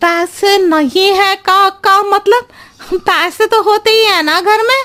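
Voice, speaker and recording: A female-sounding cartoonish character voice pitched extremely high speaks at a moderate pace. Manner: talks in roundabout riddles.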